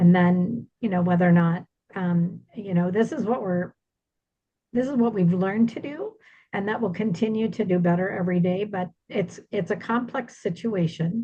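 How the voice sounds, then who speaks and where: A woman with an American accent, medium pitch and ordinary pitch variation speaks at a moderate pace in a dark, mellow, somewhat breathy tone. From Iowa, US Midwest. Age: 60s. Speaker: senior move manager, business owner. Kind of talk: webinar presentation.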